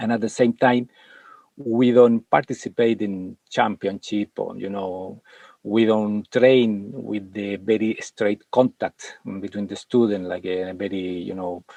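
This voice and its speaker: Speaking with a non-native accent, a man has a fairly low pitch. He goes at a fairly slow pace with fairly even intonation. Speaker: martial arts and meditation master. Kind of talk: interview conversation. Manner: halting, many fillers.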